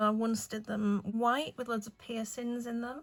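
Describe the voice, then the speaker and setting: A woman with an English accent at a fairly high pitch and fairly slow pace, in a very clean recording with a silent background. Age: 40s. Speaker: nail artist. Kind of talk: casual chat. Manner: younger-sounding voice.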